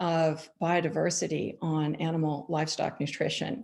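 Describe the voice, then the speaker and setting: A woman with an American accent talks with vocal fry. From US (California). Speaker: wool grower, former climate scientist. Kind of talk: panel discussion. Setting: online forum.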